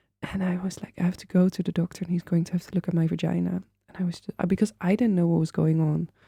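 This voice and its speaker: Speaking at a very fast pace with hardly any pauses, a woman with a non-native accent uses a fairly low, somewhat breathy voice in a monotone, flat intonation, with big swings in loudness. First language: not English. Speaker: podcast host. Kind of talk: interview conversation.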